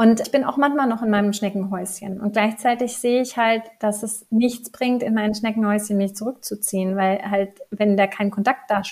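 Somewhat breathy and fairly high-pitched, a woman speaks at a moderate pace with monotone, flat intonation. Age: 30s. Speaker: life coach. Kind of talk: casual interview.

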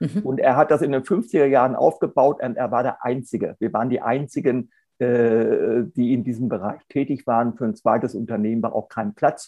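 This man has a normal speaking voice at a medium pitch. He keeps a moderate pace with ordinary pitch variation. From Hannover, northern Germany. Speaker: lawyer and sustainability consultant. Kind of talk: interview.

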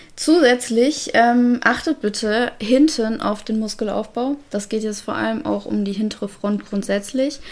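An unremarkable speaking voice, this woman talks at a fairly high pitch and fairly slow pace with hardly any pauses and ordinary pitch variation. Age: 30s. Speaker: canine physiotherapist. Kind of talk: casual chat.

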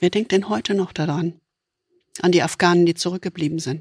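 A plain, everyday voice with ordinary pitch variation comes through a dry, close sound with no echo on a very clean recording with a silent background. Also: woman. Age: 60s. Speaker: podcast host, leadership coach. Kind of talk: conversational discussion.

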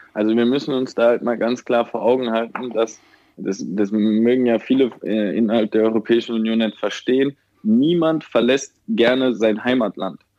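At a moderate pace, a man of medium pitch talks in an ordinary speaking voice with fairly even intonation. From Germany, Mannheim/Ludwigshafen area. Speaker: aid worker. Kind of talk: interview.

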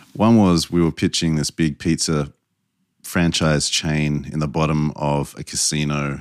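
Very deep and low in pitch, a man with an Australian accent is heard in a dry, close sound with no echo. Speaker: brand strategist. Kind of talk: interview. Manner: dry, a little sarcastic.

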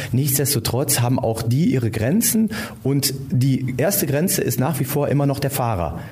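Over noticeable background noise, a man talks at a moderate pace in a medium pitch. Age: 40s. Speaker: police officer. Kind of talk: interview.

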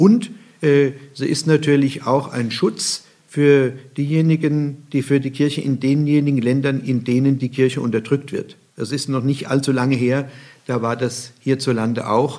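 Fairly high for a man yet dark and mellow in tone, his voice moves at a fairly slow pace with fairly even intonation. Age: 60s. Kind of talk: interview.

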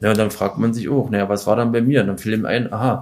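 A man speaks in an ordinary speaking voice at a medium pitch with fairly even intonation. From Weißwasser, Saxony (East Germany). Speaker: former ice hockey player, doping victim. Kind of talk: interview.

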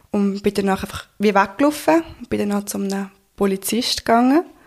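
A woman's voice sits at a medium pitch. She delivers her words at a fairly slow pace. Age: 20s. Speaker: assault survivor telling her story. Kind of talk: testimony.

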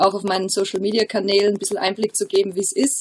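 A woman at a medium pitch over noticeable background noise. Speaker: professional footballer. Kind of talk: interview.

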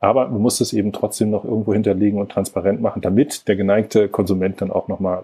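Very fast and with fairly even intonation, a man talks in a dark, mellow tone. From northern Germany, Lübeck. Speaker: environmental organisation executive. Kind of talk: interview conversation.

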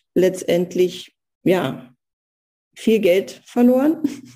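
This woman's voice has a dark, mellow tone with vocal fry. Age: 50s. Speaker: pharmaceutical sales rep and engineer. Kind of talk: casual interview.

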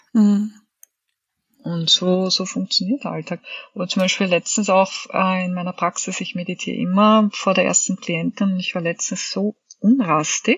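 With an unremarkable speaking voice, a woman talks at a fairly slow pace in a medium pitch with ordinary pitch variation. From Austria, Vienna. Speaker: author and body therapist. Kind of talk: interview.

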